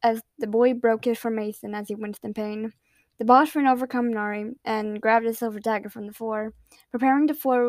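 A natural voice reading aloud, fairly even in intonation, over a quiet background

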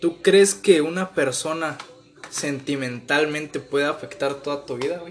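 Amid noticeable background noise, a man with a fairly high pitch speaks fairly slowly with ordinary pitch variation and big swings in loudness. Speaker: podcast co-host. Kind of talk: casual chat.

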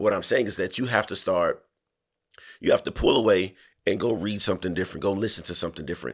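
A man talks in an animated tone. The recording is very clean, with a silent background. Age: 30s. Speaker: podcast host. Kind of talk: casual chat, opinionated discussion. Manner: animated, profane, emphatic.

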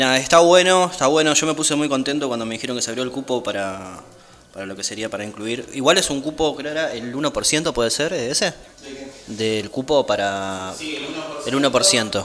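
With lively intonation and big swings in loudness, a man speaks at medium pitch and a moderate pace against noticeable background noise. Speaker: youth radio co-host. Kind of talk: casual chat.

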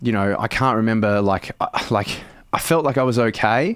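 Talking at a fairly quick pace, a man with an Australian accent uses a fairly low pitch and fairly even intonation. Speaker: comedian and actor. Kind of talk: casual interview. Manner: casual, many filler words.

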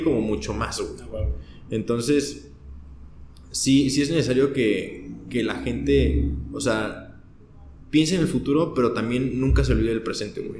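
Someone with a Mexican accent speaks at a fairly slow pace with long, frequent pauses amid audible room echo. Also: man. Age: 20s. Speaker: podcast guest. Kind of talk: casual chat.

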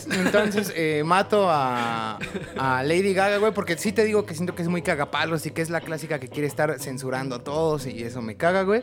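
A man talks at a fairly quick pace with a fairly high pitch. His intonation is lively, and background noise is noticeable. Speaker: podcast co-host. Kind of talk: casual chat.

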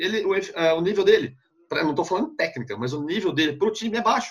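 A man talks very fast in a high pitch, with lively intonation. He has a regional Brazilian accent. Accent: noticeable regional Brazilian. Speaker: sports journalist. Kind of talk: casual interview chat. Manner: halting, repeats words.

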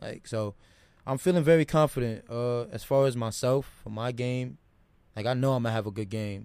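A man speaks in a normal speaking voice at a moderate pace. His pitch is medium with ordinary variation. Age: 20s. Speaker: college basketball player. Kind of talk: casual chat.

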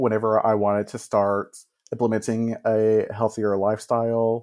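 With an American accent, a man has an unremarkable speaking voice at a medium pitch, talking at a fairly slow pace with fairly even intonation against a quiet background. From Texas. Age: 30s. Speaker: music teacher. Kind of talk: personal story in interview. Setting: remote call.

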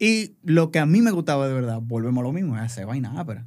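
A man with a fairly high pitch at a very fast pace, on a very clean recording with a silent background. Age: 40s. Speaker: advertising creative and entrepreneur. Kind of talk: casual chat. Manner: halting.

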